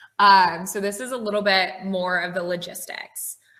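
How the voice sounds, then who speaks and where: In a normal speaking voice, a woman talks at a fairly slow pace with medium pitch and fairly even intonation. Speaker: tech recruiter. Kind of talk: online presentation.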